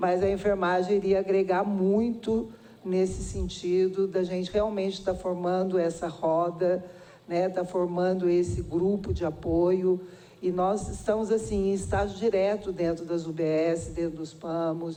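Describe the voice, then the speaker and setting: A woman at medium pitch, flat and monotone, at a fairly slow pace, with audible room echo and noticeable background noise. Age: 60s. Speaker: nursing department head at a university. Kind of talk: public hearing testimony. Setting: public hearing in a city council chamber.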